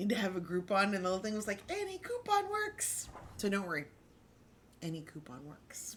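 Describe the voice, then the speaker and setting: With noticeable background noise throughout, the talking goes along at a fairly quick pace. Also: woman. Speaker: crafting livestreamer. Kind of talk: casual livestream chat. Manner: animated.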